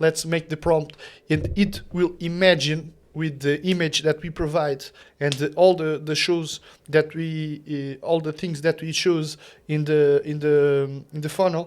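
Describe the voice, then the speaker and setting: A man with a non-native accent speaks fairly slowly in a fairly high, monotone, flat voice against a quiet background. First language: not English. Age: 30s. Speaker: content creator. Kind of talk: tutorial. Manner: halting.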